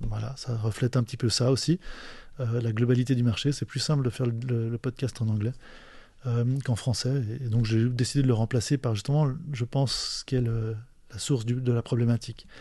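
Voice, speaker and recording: Against a quiet background, a man speaks fairly quickly at a medium pitch in a dark, mellow, somewhat breathy tone with monotone, flat intonation. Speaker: podcast host. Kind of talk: solo monologue. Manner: halting.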